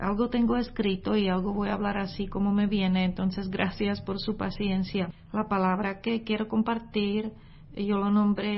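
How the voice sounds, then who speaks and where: A woman speaks at a moderate pace with a non-native accent, her medium-pitched voice somewhat breathy and her loudness very even. Her intonation is monotone and flat, and audible room echo surrounds her. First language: not Spanish (speaking Spanish). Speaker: missionary preacher. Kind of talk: sermon. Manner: hesitant, with filler sounds.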